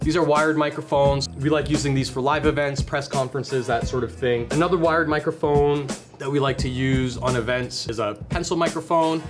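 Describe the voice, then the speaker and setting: Clear music plays in the background as a man talks. He speaks at a fairly quick pace with ordinary pitch variation. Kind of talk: product explainer. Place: studio. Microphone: camera far.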